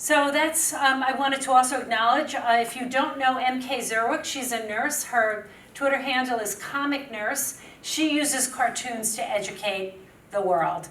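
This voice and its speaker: A woman's high-pitched voice in a New York accent, with audible room echo and noticeable background noise. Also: ordinary pitch variation, moderate pace. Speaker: public health nurse and media strategist. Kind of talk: conference talk.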